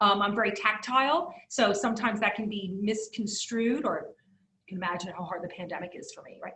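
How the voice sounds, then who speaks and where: A woman with a fairly high pitch speaks at a moderate pace in a bright, sharp tone with lively intonation, amid audible room echo. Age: 40s. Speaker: keynote speaker and attorney. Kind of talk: keynote talk with audience Q&A. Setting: video call. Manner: halting, many repeated words and fillers.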